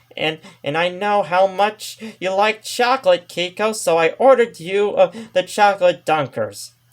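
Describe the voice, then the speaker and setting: At a moderate pace, a put-on character voice speaks at a middle pitch. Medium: read story.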